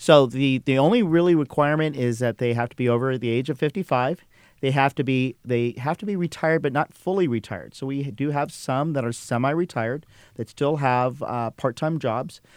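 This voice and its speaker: A man talks fairly quickly with ordinary pitch variation, the sound dry and close with no echo. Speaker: highway patrol officer. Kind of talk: radio interview. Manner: hesitant, filler-heavy.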